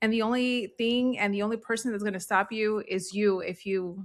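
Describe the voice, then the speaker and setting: A woman speaks at a moderate pace with fairly even intonation in a plain, everyday voice. The recording is very clean, with a silent background. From US, child of Central American immigrants. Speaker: real estate agent and coach. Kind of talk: interview.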